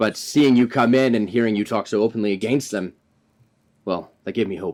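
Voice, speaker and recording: A man does a raspy, put-on character voice at medium pitch, speaking fairly quickly with fairly even intonation. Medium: actual play. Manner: earnest, formal and measured.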